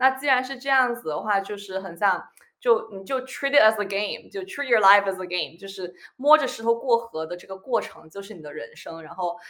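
A bright, sharp tone with lively intonation at a fairly quick pace. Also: woman, fairly high pitch for a woman. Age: 20s. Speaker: former colleague, blogger. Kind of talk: casual chat.

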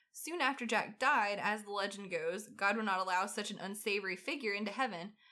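Woman's voice of medium pitch, bright and sharp in tone, with ordinary pitch variation and a fairly quick pace, on a very clean recording with a silent background. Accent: Southern US. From US South. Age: 30s. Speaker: podcast co-host. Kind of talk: casual chat. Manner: animated.

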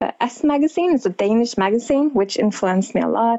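A woman speaks in a Norwegian accent with ordinary pitch variation. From northern Norway. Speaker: model and costume designer. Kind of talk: interview conversation. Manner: hesitant with fillers.

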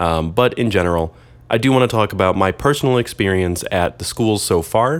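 An ordinary speaking voice at a fairly quick pace. The intonation is lively and the loudness very even. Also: man, fairly low pitch for a man, very clean recording, silent background. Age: 20s. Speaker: photography podcast host and MFA student. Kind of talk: casual solo monologue. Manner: casual, with frequent fillers.

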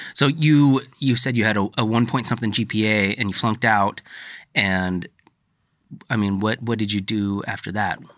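Speaking with an unremarkable speaking voice, a man keeps a moderate pace and ordinary pitch variation. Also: very clean recording, silent background. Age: 30s. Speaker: podcast host. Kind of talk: casual interview. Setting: in person.

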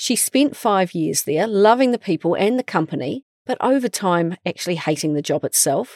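A woman with a New Zealand accent speaks at medium pitch and a moderate pace, with hardly any pauses. Her pitch swings very widely, and the recording is dry and close with no echo. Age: 40s. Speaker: podcast host. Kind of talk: scripted narration; casual chat.

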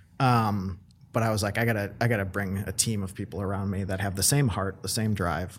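A man with a fairly low pitch uses a normal speaking voice and fairly even intonation. He talks at a fairly quick pace on a very clean recording with a silent background. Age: 30s. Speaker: real estate company president. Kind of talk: casual interview.

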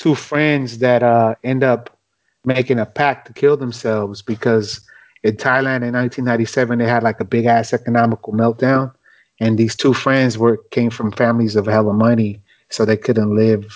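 A man speaks in a normal speaking voice at medium pitch and a moderate pace. His intonation is fairly even and his loudness very even. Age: 30s. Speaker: rapper. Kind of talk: casual chat.

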